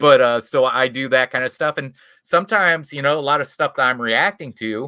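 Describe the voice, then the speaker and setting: A man with a Midwestern accent speaks at a moderate pace in a bright, sharp tone, his pitch fairly high and his intonation lively. The recording is very clean with a silent background, dry and close with no echo. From US Midwest, small town in Indiana. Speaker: YouTube creator. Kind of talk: casual chat.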